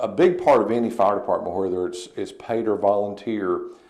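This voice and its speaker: A man with an American accent speaks in a room with audible echo. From Eastern Kentucky, US. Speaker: fire chief. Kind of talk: TV interview. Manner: halting, many fillers.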